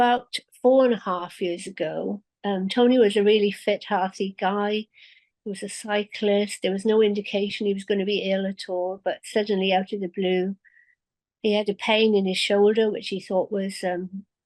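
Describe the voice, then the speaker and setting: In a British accent, a woman speaks at a moderate pace with monotone, flat intonation, the sound dry and close with no echo. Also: medium pitch for a woman. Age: 70s. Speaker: bereaved widow sharing her story. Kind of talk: personal testimony. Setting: video call.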